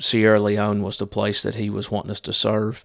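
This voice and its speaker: This recording is very clean, with a silent background. The man's voice is fairly low. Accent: Appalachian. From US South, Southwest Virginia. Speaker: missionary. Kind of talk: casual monologue update. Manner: halting, many fillers.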